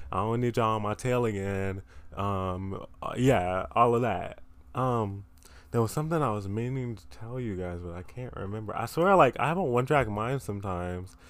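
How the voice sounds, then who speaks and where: Using a plain, everyday voice, a man talks at a moderate pace in a fairly low pitch with ordinary pitch variation and big swings in loudness. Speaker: podcast host. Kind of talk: casual solo podcast chat. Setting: recording in bed. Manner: casual, rambling, self-deprecating.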